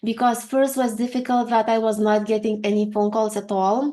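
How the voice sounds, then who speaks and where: Her voice is fairly high for a woman, dark and mellow in tone, with monotone, flat intonation. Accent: Lithuanian. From Lithuania. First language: Lithuanian. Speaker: HR consultant and career coach. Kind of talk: interview. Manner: hesitant, with fillers.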